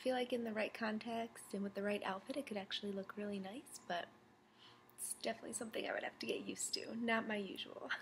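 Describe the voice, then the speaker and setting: A woman talks at a very fast pace, her voice somewhat breathy. Her intonation stays fairly even over light background noise. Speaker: beauty vlogger. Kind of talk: casual product review chat. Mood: cheerful, a bit nervous. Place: home room. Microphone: webcam.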